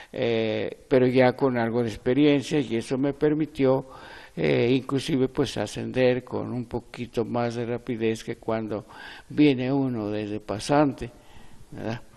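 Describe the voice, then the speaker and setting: The man's tone is dark and mellow, at a medium pitch. He speaks at a fairly slow pace with fairly even intonation. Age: 90s. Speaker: retired mining engineer and lawyer. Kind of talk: interview. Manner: halting.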